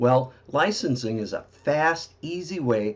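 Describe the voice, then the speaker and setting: A man with a plain, everyday voice, medium pitch, lively intonation and fairly slow pace. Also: quiet background. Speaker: marketing presenter. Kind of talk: sales presentation. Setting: recorded video webinar.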